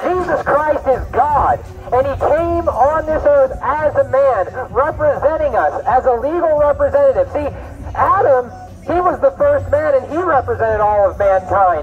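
At a moderate pace, a man speaks with faint music in the background. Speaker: street preacher. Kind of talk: sermon. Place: garden. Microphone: camera far.

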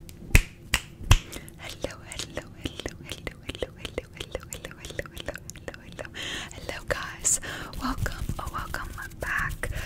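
Long pauses come often. The speaker is a woman, whispering. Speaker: ASMR creator. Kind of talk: ASMR trigger words. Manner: whispered. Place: home room. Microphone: studio mic.

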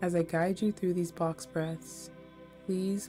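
Calm, soothing speech plays over music in the background. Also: woman. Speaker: self love coach, meditation guide. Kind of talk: guided meditation narration. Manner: calm, slow, soothing.

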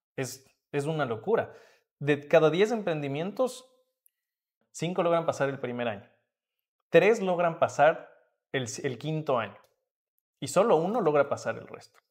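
A man with a fairly high voice speaks at a fairly slow pace, leaving long, frequent pauses. His pitch swings very widely and his loudness varies a lot against a quiet background. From Ecuador, Atuntaqui near Quito; Ecuador. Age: young. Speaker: entrepreneur and mentor; guest. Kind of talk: interview. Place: hall. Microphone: camera far.

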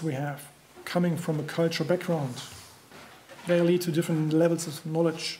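Speaking with a German accent, a man uses a high pitch and a monotone, flat intonation at a fairly quick pace over light background noise. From Germany. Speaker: construction trainer. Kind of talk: conference presentation. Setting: stage with audience. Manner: halting. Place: hall. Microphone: podium.

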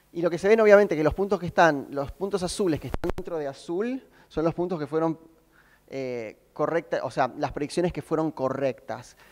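A man talks fairly quickly with an Argentine accent. His pitch is fairly high, with ordinary variation. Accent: Argentine Spanish (Rioplatense). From Argentina. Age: 20s. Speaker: software developer. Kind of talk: conference talk.

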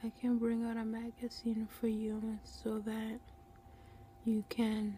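A soft-spoken woman talks over light background noise. The sound is dry, with no echo. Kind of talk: role-play salon chat. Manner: soft, slow ASMR murmur. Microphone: phone near.

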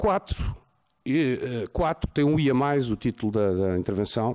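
A man with medium pitch and lively intonation speaks against a quiet background. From Portugal. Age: 40s. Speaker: lawyer. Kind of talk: conference talk. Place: hall. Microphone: podium.

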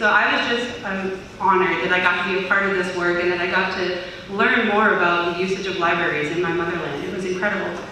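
With an American accent, a woman talks at a very fast pace. Strong room echo and light background noise surround her voice. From US (Armenian diaspora). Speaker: youth volunteer, former intern. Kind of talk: presentation to a group. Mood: enthusiastic, grateful. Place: hall. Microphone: camera far.

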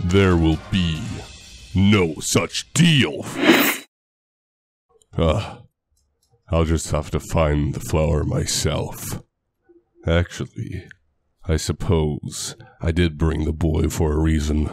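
A man uses a put-on character voice, very deep and low in pitch. He speaks very slowly, with long, frequent pauses. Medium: machinima. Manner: gruff, commanding.

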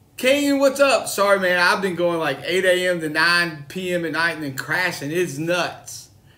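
Lively intonation marks this man's speech. He talks at a fairly slow pace. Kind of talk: casual live-stream chat. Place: home room. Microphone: phone near.

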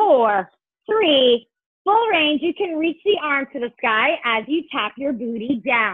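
Using an animated, playful tone, a high-pitched woman speaks at a fairly slow pace with very wide pitch swings. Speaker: fitness instructor. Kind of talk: guided barre workout class. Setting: Zoom video class, home workout. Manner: upbeat, encouraging, rhythmic counting cues.

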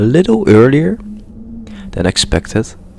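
A man speaks quietly, the sound dry with no echo and light background noise behind him. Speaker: let's play gamer. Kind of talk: quiet gameplay commentary. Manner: quiet, hushed. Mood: calm, mildly frustrated. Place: home room.

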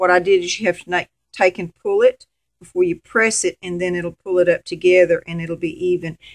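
In a Southern US accent, a woman speaks with a fairly low pitch and a monotone, flat intonation against a quiet background. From Arkansas, US. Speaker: sewing volunteer coordinator. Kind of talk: sewing tutorial. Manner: casual, friendly. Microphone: camera far.

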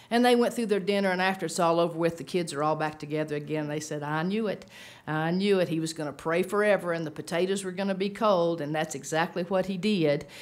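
A woman talks at a very fast pace with hardly any pauses. Her pitch is fairly low. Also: ordinary pitch variation. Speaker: speaker. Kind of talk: sermon-style talk with storytelling. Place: meeting room. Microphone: podium.

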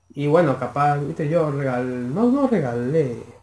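A man speaks in a Rioplatense accent. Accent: Argentine Rioplatense Spanish. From Argentina. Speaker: YouTube reaction creator. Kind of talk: video reaction commentary. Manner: halting, many fillers. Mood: opinionated, scornful.

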